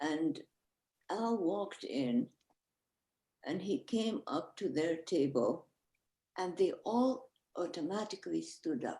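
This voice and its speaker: A woman speaks very slowly in a fairly low pitch, with long, frequent pauses. Her tone is dark and mellow, and her pitch swings very widely. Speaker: author. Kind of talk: panel discussion. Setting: video call.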